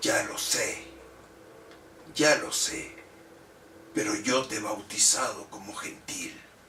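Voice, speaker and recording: Over clear background noise, a man puts on a raspy, menacing character voice, talking at a fairly slow pace with long, frequent pauses. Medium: read story. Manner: menacing, mocking.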